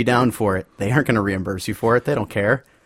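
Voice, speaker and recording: A man with an ordinary speaking voice, medium pitch and ordinary pitch variation, in a very clean recording with a silent background. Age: 20s. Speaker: fill-in co-host and homebrewer. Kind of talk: casual chat.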